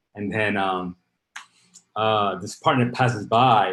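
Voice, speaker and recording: Fairly low in pitch, a man with a Spanish accent speaks with fairly even intonation. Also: big swings in loudness. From Dominican Republic, Santo Domingo; moved to South Bronx at 12. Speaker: startup founder and CEO. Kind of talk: interview.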